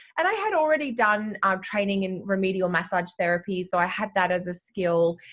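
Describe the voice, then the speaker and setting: A woman with normal pitch movement talks fairly quickly while noticeable noise runs in the background. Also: medium pitch for a woman. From Australia, Sydney. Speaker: astrologer. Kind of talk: podcast interview.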